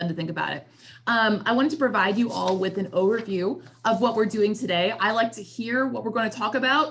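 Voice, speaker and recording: Fairly quick and fairly high-pitched, a woman talks in a normal speaking voice with ordinary pitch variation and big swings in loudness. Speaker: trainer. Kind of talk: lecture.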